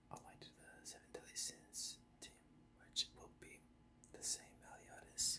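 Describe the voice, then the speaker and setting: Someone is whispering at a fairly slow pace. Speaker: gaming ASMR creator. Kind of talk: whispered gameplay commentary. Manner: soft whispered.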